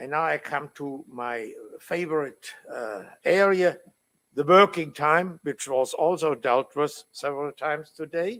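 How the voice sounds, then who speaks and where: A fairly slow delivery with ordinary pitch variation. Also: man, fairly high pitch for a man. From Germany. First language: German. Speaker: law professor. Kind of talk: conference talk. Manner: halting, many fillers.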